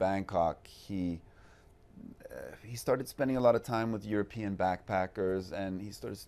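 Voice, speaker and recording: A man speaks at a moderate pace in a fairly low pitch. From Sweden. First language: Swedish. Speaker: actor. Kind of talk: interview. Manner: halting, many fillers and repeats.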